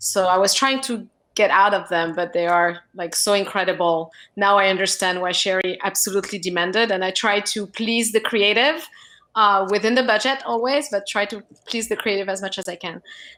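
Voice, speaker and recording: A woman with a French accent speaks at a medium pitch in a bright, sharp tone. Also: ordinary pitch variation, fairly quick pace, very clean recording, silent background. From France. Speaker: film producer. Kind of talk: panel discussion.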